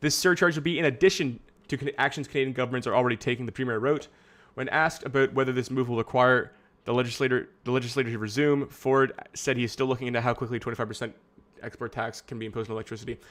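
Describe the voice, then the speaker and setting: A man mumbles at a very fast pace. His medium-pitched voice keeps a fairly even intonation. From Canada. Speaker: streamer. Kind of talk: reading news articles aloud with commentary on a live stream. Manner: mumbling.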